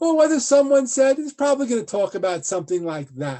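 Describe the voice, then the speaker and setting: Here a man with an American accent speaks with very wide pitch swings. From United States. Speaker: law professor. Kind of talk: lecture. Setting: video call.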